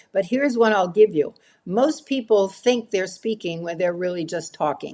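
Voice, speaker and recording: A woman with a New York accent speaks at a moderate pace and medium pitch. Her intonation is lively against a quiet background. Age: 80s+. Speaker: professional speaker. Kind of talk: interview answer.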